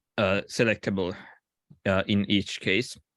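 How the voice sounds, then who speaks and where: With a non-native accent, a man speaks at a fairly slow pace in a fairly low pitch, the sound dry and close with no echo. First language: not English. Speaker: software developer presenting an issue. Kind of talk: online work meeting discussion. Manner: halting, many fillers.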